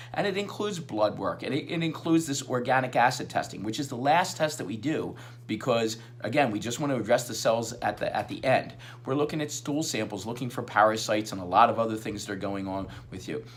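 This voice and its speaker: A man speaks at a very fast pace with a medium pitch and lively intonation. Noticeable background noise is present. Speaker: chiropractor. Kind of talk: radio interview. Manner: halting.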